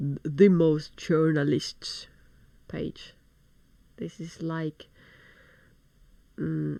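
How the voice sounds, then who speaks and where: A woman with a Finnish accent, at a very slow pace, with long, frequent pauses. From Finland. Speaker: video blogger. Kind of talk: news commentary reading from articles. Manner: halting.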